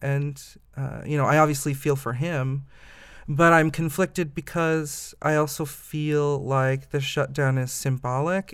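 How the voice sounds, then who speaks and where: A man with a Midwestern American accent, fairly high-pitched, talking at a fairly slow pace with fairly even intonation. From US Midwest, Indiana (Fort Wayne). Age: 20s. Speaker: voter interviewed on podcast. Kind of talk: interview. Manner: hesitant, many fillers.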